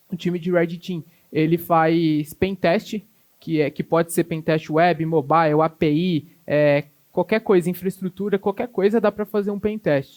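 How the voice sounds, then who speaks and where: A man with a high pitch talks at a fairly slow pace. His intonation stays fairly even over a quiet background. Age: 20s. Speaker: cybersecurity specialist, conference speaker; conference speaker. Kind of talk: conference talk. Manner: halting, many fillers. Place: hall. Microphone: handheld.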